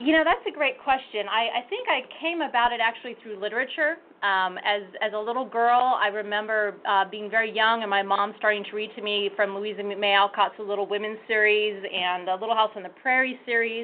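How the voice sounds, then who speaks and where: A woman with an American accent speaks at a fairly quick pace with hardly any pauses. It is an ordinary speaking voice, fairly high in pitch, with ordinary pitch variation. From Northern California, Sonoma County. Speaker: archive director and historian. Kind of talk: interview.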